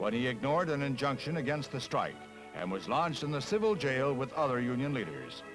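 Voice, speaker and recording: Over music in the background, a man with fairly high pitch talks at a fairly quick pace with lively intonation. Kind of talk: newsreel narration. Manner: brisk, authoritative.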